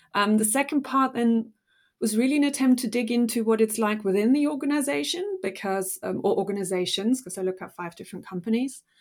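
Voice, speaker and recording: A woman with a German accent talks at a very fast pace in a fairly high voice, her intonation lively and her loudness swinging widely, on a very clean recording with a silent background. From Germany. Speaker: business historian, professor. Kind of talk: interview.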